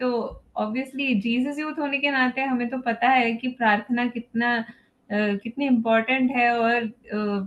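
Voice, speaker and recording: A woman speaks with a non-native accent at a high pitch. Her intonation stays fairly even. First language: not Hindi (speaking Hindi). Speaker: parent speaker at a parenting webinar. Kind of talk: webinar talk. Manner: halting, many fillers.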